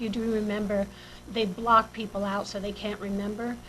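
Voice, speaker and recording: A woman's medium-pitched, monotone voice at a moderate pace, against noticeable background noise. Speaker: singer-songwriter. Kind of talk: radio interview. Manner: stuttering.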